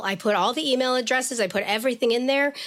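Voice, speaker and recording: A woman at a fairly quick pace, with ordinary pitch variation. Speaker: education activist and spokesperson. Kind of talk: interview. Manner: loud.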